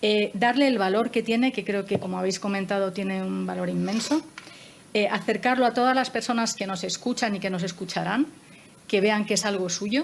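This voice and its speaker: Moderately paced speech from a woman, medium in pitch and ordinary in its pitch variation. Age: 60s. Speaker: moderator of a panel discussion. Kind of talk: panel discussion. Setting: panel with armchairs and table. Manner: hesitant, with many fillers.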